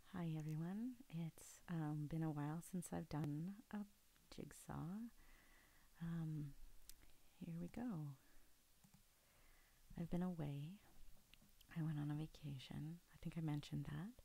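The voice is soft-spoken, moving at a fairly slow pace with long, frequent pauses. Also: dry sound with no echo. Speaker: ASMR creator. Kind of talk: ASMR soft-spoken talk while doing a puzzle. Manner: soft-spoken, quiet. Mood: calm, relaxed, soft-spoken. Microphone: studio mic.

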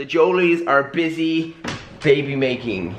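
A man talks while noticeable background noise fills the recording. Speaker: parent vlogger. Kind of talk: casual vlog chat. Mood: playful, cheerful. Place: home room. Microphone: phone near.

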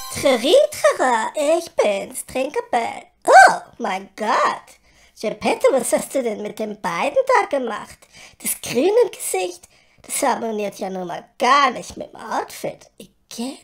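A female-sounding put-on character voice speaks at a fairly slow pace and a high pitch. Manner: prissy, affected, theatrical.

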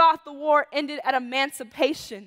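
A high-pitched woman's voice at a moderate pace. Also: quiet background. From Chicago. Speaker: poet. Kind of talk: spoken word performance. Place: stage. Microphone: headset.

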